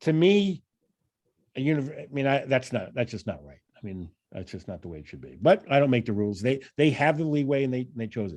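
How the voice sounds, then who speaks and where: With a New York accent, a man of medium pitch speaks at a fairly quick pace and swings his pitch very widely. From New York, Long Island. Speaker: financial analysis trainer, professor. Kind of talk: training presentation.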